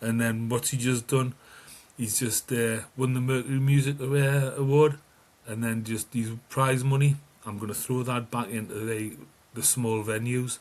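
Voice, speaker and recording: Speaking in a Geordie accent, a man keeps a medium pitch and monotone, flat intonation at a moderate pace. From northeast England (Newcastle). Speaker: music fan guest. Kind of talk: casual chat.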